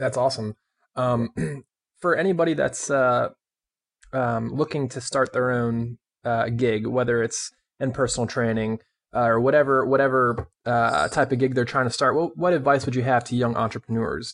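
A man with a normal speaking voice talks at a medium pitch and moderate pace. His pitch varies in an ordinary way over a quiet background. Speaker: podcast host. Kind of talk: interview, scripted intro.

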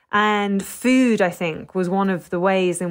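Recorded very cleanly against a silent background, a woman speaks in a London accent at medium pitch with fairly even intonation. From London, England. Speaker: food writer. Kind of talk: interview. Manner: hesitant, many fillers.

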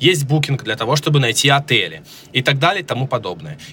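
A man speaks at a moderate pace and a medium pitch. His tone is bright and sharp, with vocal fry. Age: 30s. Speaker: startup founder. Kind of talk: interview. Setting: remote recording.

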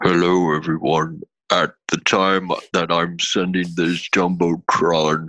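Putting on a character voice, a man speaks fairly slowly at a very deep, low pitch.

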